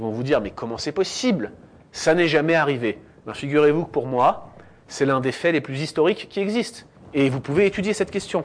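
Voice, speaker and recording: This is a normal speaking voice with lively intonation. The pace is fairly quick. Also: man, fairly high pitch for a man. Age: 30s. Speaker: theology student and guest speaker. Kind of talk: lecture. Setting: church with audience.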